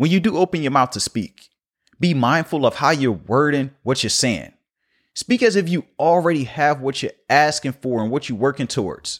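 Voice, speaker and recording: A man with an American accent speaks at a fairly high pitch, in an energetic tone with lively intonation. The recording is very clean with a silent background, and the sound is dry and close with no echo. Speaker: podcast host and coach. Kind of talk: motivational solo monologue. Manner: fast talker; motivational, energetic.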